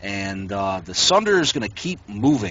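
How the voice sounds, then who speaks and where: Speaking at a fairly slow pace, this is a plain, everyday voice. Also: man. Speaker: gaming clan trainer. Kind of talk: game training instruction. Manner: instructive, directive.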